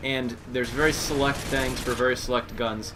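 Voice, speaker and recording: A man's fairly even intonation comes through audible room echo and noticeable background noise. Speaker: gaming commentator. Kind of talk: gameplay commentary. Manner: fast.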